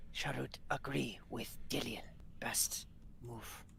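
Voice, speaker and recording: A man whispers in a put-on character voice. His pace is very slow. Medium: actual play. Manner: clipped broken grammar, few words.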